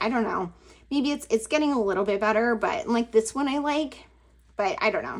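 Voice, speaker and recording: A woman speaks with lively intonation. She has a plain, everyday voice. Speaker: planner and crafting YouTuber. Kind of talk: casual flip-through vlog. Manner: casual, lots of fillers like 'like' and 'um'.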